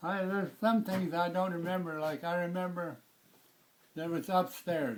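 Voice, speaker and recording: High pitch from a man, with ordinary pitch variation. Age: 90s. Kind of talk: casual reminiscing, family interview. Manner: slow, halting.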